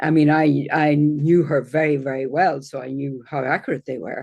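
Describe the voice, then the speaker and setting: Against a quiet background, a woman with an Irish accent speaks at a very deep, low pitch. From Ireland. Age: 60s. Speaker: astrologer. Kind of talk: interview.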